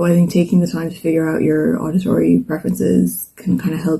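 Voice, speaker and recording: A woman with an Irish accent speaks at a very fast pace. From Ireland. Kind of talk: casual talk to camera.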